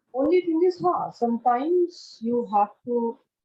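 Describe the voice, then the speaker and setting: The speaker is a woman. She swings her pitch very widely. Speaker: parent. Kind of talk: interview. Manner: soft-spoken.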